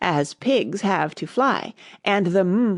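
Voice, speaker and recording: Against a quiet background, a woman in a raspy, put-on character voice speaks at a very slow pace, with medium pitch and lively intonation. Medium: read story. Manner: smug, fussy, moralizing.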